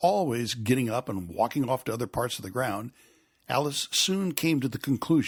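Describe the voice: The intonation here is lively. It's plain reading aloud.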